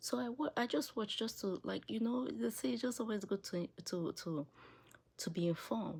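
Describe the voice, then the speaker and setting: A woman with an African accent, vocal fry and very wide pitch swings at a moderate pace. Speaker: political commentary video creator. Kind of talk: opinion monologue. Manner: animated.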